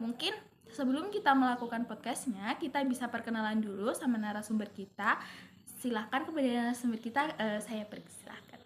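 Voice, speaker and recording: This woman has a plain, everyday voice with a fairly high pitch. She talks at a fairly quick pace with ordinary pitch variation. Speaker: university student interviewer. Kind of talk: student podcast interview.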